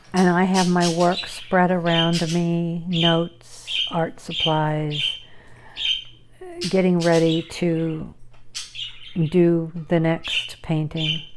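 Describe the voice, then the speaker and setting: Speaking very slowly with long, frequent pauses, a woman with a fairly low pitch keeps a flat, monotone delivery at very even loudness, over noticeable background noise and audible room echo. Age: 60s. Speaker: video blogger and artist. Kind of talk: casual personal vlog monologue. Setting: at home with pets.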